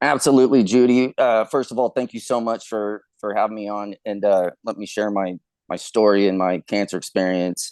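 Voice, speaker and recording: A man with an American accent and a fairly low pitch, fairly even intonation, dry, close sound with no echo and a quiet background. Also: moderate pace. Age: 40s. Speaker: cancer survivor. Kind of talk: interview testimony. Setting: podcast interview. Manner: halting, many fillers.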